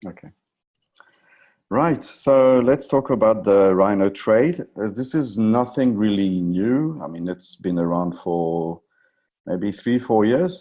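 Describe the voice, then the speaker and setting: A man with a French accent at a very slow pace, fairly low in pitch with a dark, mellow tone, over a quiet background. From France. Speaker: options trading presenter. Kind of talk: webinar presentation. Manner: halting, many fillers.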